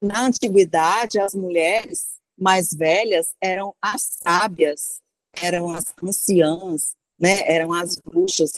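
Pitch varies in an ordinary way as a woman talks very slowly. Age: 50s. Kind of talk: interview. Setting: remote call from abroad.

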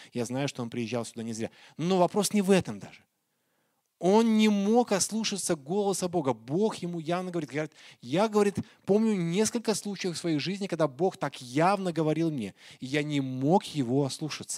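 A man speaks in a high pitch with lively intonation and a dark, mellow tone. His pace is moderate, and the recording is very clean with a silent background. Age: 40s. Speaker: pastor. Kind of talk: sermon.

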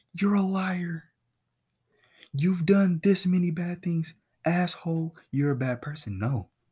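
Pausing long and often at a fairly slow pace, the voice has a dark, mellow tone and ordinary pitch variation. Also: man, high pitch for a man. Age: young. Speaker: podcast host.

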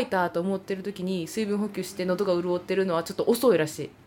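Speaking in a Kansai accent, a woman has an animated tone. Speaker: podcast host, theatre performer. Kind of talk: casual chat.

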